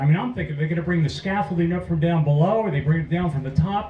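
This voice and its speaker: With an American accent, a man speaks in a high voice with ordinary pitch variation against noticeable background noise. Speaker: war veteran. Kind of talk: testimony.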